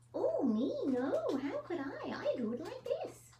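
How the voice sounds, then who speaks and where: A put-on character voice sits at an extremely high pitch and swings very widely. The pace is fairly slow. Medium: read story.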